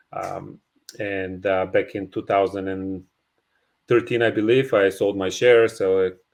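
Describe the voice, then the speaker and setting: The pace is moderate. The background is quiet. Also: man. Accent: Bulgarian. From Bulgaria. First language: Bulgarian. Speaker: real estate investor. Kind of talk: podcast interview. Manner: halting, many fillers.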